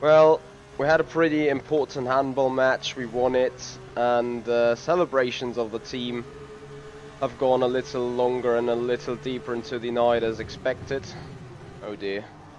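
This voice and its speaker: Noticeable noise is present in the background. The voice's pitch moves in an ordinary manner. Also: man, medium pitch for a man, moderate pace. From Germany. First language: German. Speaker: sim racing streamer. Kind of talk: live stream commentary. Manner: hesitant, many fillers.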